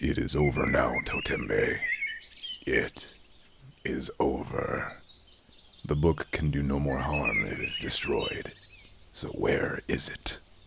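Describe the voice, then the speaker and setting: Using a booming, put-on character voice, a man talks at a fairly slow pace with long, frequent pauses. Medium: audio drama. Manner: authoritative.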